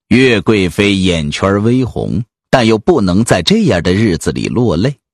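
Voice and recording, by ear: A natural voice reading aloud, quiet background behind it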